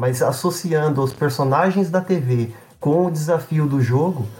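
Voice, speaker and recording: The speaker talks at a fairly slow pace with ordinary pitch variation over noticeable background noise. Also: man. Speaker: games writer. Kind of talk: casual chat.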